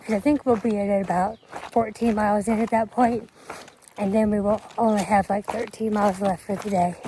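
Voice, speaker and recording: Amid noticeable background noise, a woman talks at a fairly quick pace and medium pitch in a monotone, flat intonation. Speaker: long-distance hiker and vlogger. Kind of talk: casual vlog narration while hiking. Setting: outdoors on a mountain trail.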